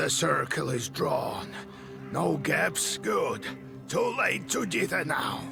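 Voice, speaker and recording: Over loud music in the background, a man speaks in a put-on character voice at a very slow pace. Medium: short film. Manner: measured, instructive.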